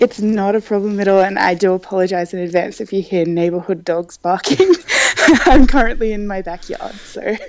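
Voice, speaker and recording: A woman with an Australian accent speaks at a fairly quick pace with ordinary pitch variation. There is noticeable background noise. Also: medium pitch for a woman. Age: 20s. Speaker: podcast guest, marketing manager. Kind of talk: interview. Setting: outdoors in backyard, remote call.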